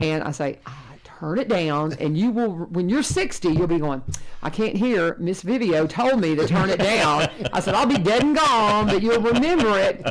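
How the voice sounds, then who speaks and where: With a Kentucky accent, the speaker moves at a moderate pace through very wide pitch swings over noticeable background noise. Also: woman, medium pitch for a woman. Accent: US South, Kentucky. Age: 60s. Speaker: radio host and teacher. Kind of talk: casual chat.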